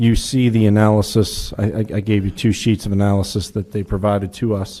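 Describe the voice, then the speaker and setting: A man with a dark, mellow tone and fairly low pitch speaks at a fairly slow pace with fairly even intonation. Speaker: city administrator. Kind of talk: council meeting report. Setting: city council meeting. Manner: loud; hesitant, many fillers. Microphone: muffled, too close to mic.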